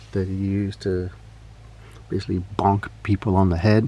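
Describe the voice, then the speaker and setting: A dark, mellow, relaxed tone at a moderate pace. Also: man. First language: Spanish. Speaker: toy customizer and collector. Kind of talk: casual show-and-tell. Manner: relaxed, with frequent fillers.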